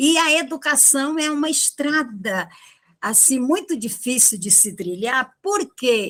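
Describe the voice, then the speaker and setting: In a very clean recording with a silent background, a woman speaks very slowly at a high pitch with very wide pitch swings. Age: 70s. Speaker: retired philosophy teacher. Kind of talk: panel discussion on education. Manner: hesitant, with many fillers and repetitions.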